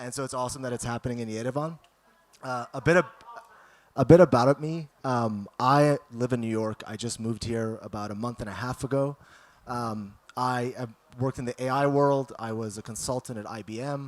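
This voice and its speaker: A man talks at a fairly quick pace and medium pitch, keeping fairly even intonation but showing big swings in loudness. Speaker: speaker at failure-story event. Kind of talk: public talk. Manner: fast.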